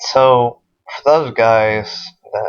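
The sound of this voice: A man speaks at a very slow pace in a clear, smooth tone. His pitch is medium, with ordinary variation.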